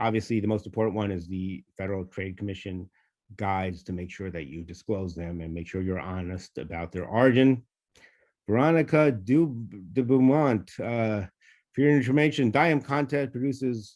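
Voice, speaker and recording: In a New York accent, a man with a fairly low pitch speaks at a moderate pace with lively intonation against a quiet background. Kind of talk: webinar Q&A. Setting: online webinar. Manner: hesitant, many fillers.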